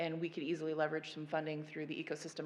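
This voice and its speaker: Monotone, flat intonation with audible room echo. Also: woman. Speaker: federal agency panelist. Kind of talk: conference panel presentation.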